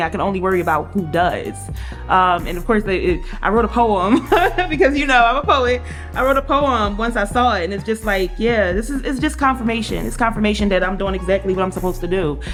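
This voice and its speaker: A woman talks at a very fast pace with a fairly high pitch. Her pitch varies in an ordinary way, and music plays in the background. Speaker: spoken word poet, author, radio co-host. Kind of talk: casual talk to camera, personal interview answer. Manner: warm, sincere.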